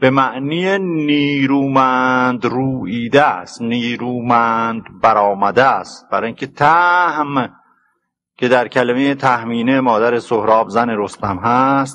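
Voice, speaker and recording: Very slow pace from a man with a bright, sharp tone and ordinary pitch variation. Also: medium pitch for a man. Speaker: literature professor. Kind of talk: lecture on classical poetry. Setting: old cassette recording. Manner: storyteller-like, plain and clear.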